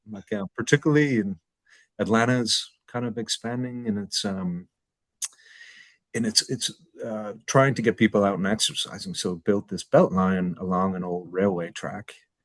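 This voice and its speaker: Recorded with a dry, close sound and no echo, a man with fairly low pitch talks at a moderate pace and ordinary pitch variation. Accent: Irish. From New York and Ireland. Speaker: fintech executive. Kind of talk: interview.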